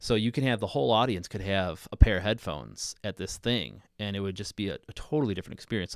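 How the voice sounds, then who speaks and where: A man with a plain, everyday voice, fairly low in pitch with lively intonation, on a very clean recording with a silent background. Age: 30s. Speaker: podcast host and high school music teacher. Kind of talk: casual chat. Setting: live stream.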